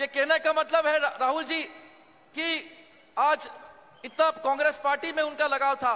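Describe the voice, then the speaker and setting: In a Marathi accent, the raised, projected voice has a bright, sharp tone. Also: man. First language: Marathi (speaking Hindi). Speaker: politician. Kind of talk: political rally speech. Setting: stage at public rally. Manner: halting.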